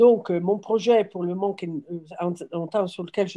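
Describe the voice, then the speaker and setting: Dark, mellow tones from a woman, intonation kept fairly even. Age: 60s. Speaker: farmer starting a business. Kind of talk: workshop introduction round. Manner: halting.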